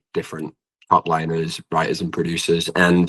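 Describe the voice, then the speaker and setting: Dry and close with no echo, a man with a British accent speaks in a bright, sharp tone with very wide pitch swings. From England. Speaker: singer-songwriter. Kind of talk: interview.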